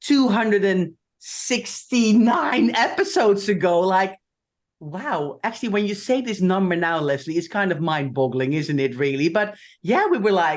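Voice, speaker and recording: A woman with a Dutch accent and a medium pitch makes very wide pitch swings at a moderate pace against a quiet background. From Netherlands. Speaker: podcast co-host. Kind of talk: casual chat.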